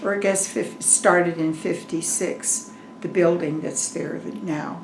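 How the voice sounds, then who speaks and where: A fairly low-pitched woman's voice in an American accent, very slow with fairly even intonation, amid noticeable background noise and audible room echo. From Colorado, US. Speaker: retired farmer's wife. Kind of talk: oral history interview.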